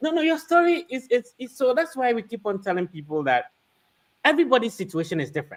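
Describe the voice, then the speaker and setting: This man's voice sits at an extremely high pitch, with very wide pitch swings. He speaks at a very fast pace. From Ghana. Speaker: podcast host; livestream host. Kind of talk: interview. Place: home room. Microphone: studio mic.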